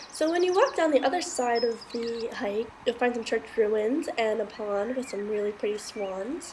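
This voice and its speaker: A woman talks at a fairly high pitch with lively intonation and hardly any pauses. Noticeable background noise runs underneath. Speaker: travel vlogger. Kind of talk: travel vlog narration. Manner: fast; enthusiastic.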